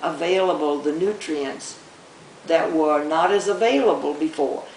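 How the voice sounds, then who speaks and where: A woman speaks at a fairly slow pace. Audible room echo and noticeable background noise come through. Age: 80s+. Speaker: retired doctor. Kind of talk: interview.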